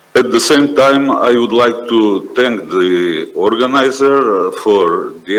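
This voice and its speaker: Noticeable background noise accompanies a man speaking with a Macedonian accent. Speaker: judge, panelist. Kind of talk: formal conference remarks. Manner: formal.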